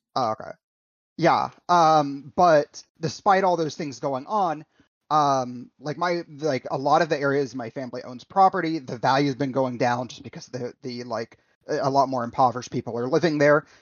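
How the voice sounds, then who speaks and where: Speaking at a moderate pace with ordinary pitch variation, the man has an ordinary speaking voice. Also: fairly high pitch for a man. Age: 30s. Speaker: podcast co-host, game streamer. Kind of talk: casual chat.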